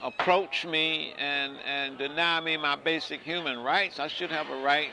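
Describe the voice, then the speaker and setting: A fairly high-pitched man, fairly even intonation, noticeable background noise. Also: fairly slow pace. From Chicago. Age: 60s. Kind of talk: oral history interview answer. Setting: outdoors.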